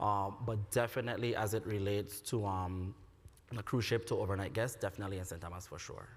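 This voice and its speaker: A man's fairly low, somewhat breathy voice with an American accent, fairly even intonation and a fairly quick pace. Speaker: tourism official. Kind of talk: panel discussion. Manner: fast.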